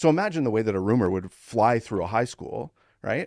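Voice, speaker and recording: Talking at a fairly quick pace with a Canadian accent, a man uses a normal speaking voice with medium pitch and lively intonation, the sound dry and close with no echo against a quiet background. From Ontario, Canada. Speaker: podcast host, former chiropractor. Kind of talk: casual interview chat.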